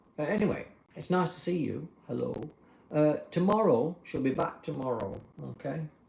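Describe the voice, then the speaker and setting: A man with an English accent, fairly high-pitched, lively in intonation, at a moderate pace. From England. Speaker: live streamer. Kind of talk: casual live stream chat.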